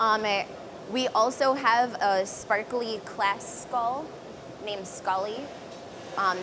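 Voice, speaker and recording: A woman's voice with ordinary pitch variation, amid noticeable background noise and audible room echo. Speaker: live stream host at glassblowing demo. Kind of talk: live demo commentary. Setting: glass studio with live audience. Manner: chatty, talkative.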